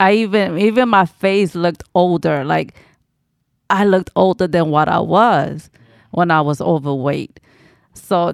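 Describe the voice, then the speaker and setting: A woman with an American accent speaks at a fairly slow pace in a fairly low pitch with ordinary pitch variation, a normal speaking voice. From New York City, the Bronx. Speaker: weight loss story guest. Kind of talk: casual interview.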